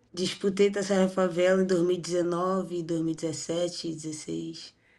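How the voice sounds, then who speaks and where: A speaker with a Rio de Janeiro accent and a dark, mellow tone talks in a monotone, flat intonation. The recording is very clean, with a silent background. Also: woman, fairly low pitch for a woman, moderate pace. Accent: carioca. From Rio de Janeiro, Brazil. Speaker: women's football player. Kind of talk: interview. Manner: halting.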